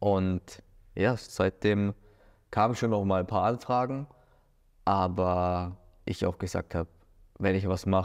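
A man talks very slowly in a very deep, low pitch, with fairly even intonation, very even loudness and long, frequent pauses. The background is quiet. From Germany, Munich; Germany. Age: 30s. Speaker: former professional footballer. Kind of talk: interview; interview answer. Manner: hesitant with many fillers. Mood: relaxed, reflective. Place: studio. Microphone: lapel.

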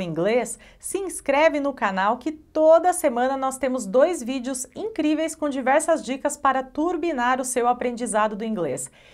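A Brazilian accent at a fairly slow pace over a quiet background. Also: woman. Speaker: English teacher. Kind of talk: online tutorial. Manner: animated. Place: studio. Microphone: lapel.

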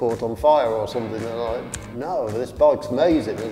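A man talks at a very fast pace with ordinary pitch variation, clear music playing in the background. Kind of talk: interview answer. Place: garage. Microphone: lapel.

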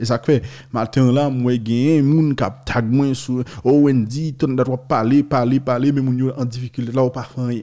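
Over a quiet background, a man with a Haitian accent speaks at a fairly slow pace in a dark, mellow tone with monotone, flat intonation. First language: Haitian Creole (speaking French). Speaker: news video host. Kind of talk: news commentary. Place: studio. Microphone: studio mic.

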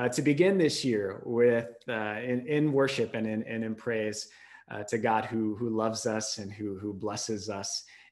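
A man at a fairly slow pace, fairly even intonation, quiet background. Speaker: pastor. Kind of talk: worship welcome and announcements. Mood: warm, smiling. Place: home room. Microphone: webcam.

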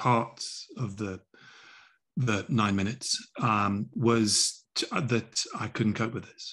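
A man's fairly low voice at a fairly slow pace, with ordinary pitch variation. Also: quiet background. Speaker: remote guest. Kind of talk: interview answer. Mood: earnest, reflective. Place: home room. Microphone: video call.

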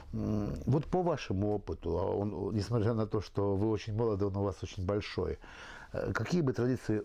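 At a moderate pace, a man talks in a fairly low pitch with a dark, mellow, somewhat breathy tone and ordinary pitch variation. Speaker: talk show host. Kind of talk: interview. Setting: tea house. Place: cafe.

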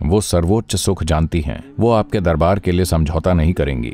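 With faint music in the background, a man speaks at a moderate pace in a very deep, low pitch, the sound dry with no echo. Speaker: spiritual teacher. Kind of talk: storytelling talk. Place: studio.

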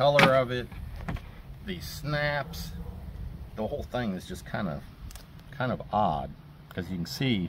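Very wide pitch swings in a man's voice, light background noise behind. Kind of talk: show-and-tell commentary. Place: garden. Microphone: camera far.

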